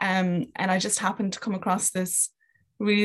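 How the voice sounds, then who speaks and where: Here a woman talks at a fairly quick pace. Her pitch sits in the medium range. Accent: Kerry. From Ireland, County Kerry. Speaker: sport psychology graduate and rugby coach. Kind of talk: casual interview.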